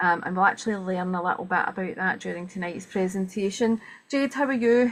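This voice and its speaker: A woman talks at a fairly quick pace, her medium pitch moving with ordinary variation. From Scotland. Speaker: webinar host. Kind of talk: event introduction. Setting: video call. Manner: fast.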